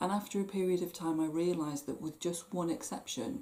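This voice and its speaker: Her tone is dark and mellow, and she speaks with a West Country accent. The woman keeps a moderate pace and lively intonation. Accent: West Country twang. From southwest England, Plymouth. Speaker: stress management coach. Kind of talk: talk to camera.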